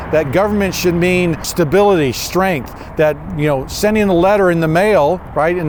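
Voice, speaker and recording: A man speaks fairly quickly in a high voice with lively intonation, and there is noticeable background noise. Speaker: builder and historic restoration craftsman. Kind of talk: walking tour presentation. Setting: on location inside a post office. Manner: conversational, many fillers; speaking quietly.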